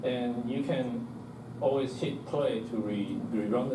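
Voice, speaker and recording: A man with a non-native accent speaks at a medium pitch with fairly even intonation. Audible room echo and noticeable background noise are present. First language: not English. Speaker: software developer giving a meetup talk. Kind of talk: technical presentation. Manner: many fillers and self-corrections.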